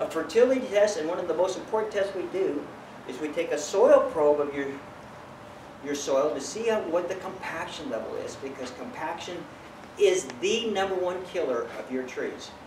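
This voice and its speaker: Amid noticeable background noise, a high-pitched man speaks at a moderate pace with lively intonation. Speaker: tree doctor, certified arborist. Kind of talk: business promotional talk to camera. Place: garden. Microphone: camera far.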